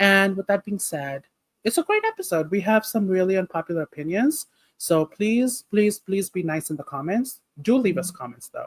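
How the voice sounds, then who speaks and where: The speaker has a non-native accent and talks at a moderate pace. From Nepal. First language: not English. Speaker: podcast co-host. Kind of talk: casual chat.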